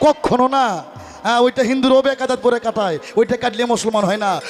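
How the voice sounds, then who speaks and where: Music plays in the background as a man speaks at an extremely high pitch. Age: young. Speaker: folk singer. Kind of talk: stage talk at a folk debate song performance.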